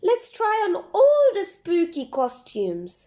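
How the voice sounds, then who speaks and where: An extremely high put-on character voice is heard here. Its delivery is fairly slow. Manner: spooky.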